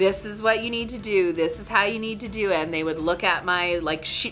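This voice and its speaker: Music can be heard behind the voice. The woman talks at a medium pitch. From Northern Canada. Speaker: artist and business owner. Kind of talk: interview answer.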